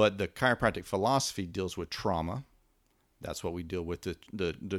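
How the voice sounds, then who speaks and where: In a West Texas accent, a man speaks at a fairly quick pace in a very deep, low voice with fairly even intonation on a very clean recording with a silent background. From West Texas and southeastern New Mexico. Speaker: chiropractor and wellness clinic owner. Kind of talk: interview.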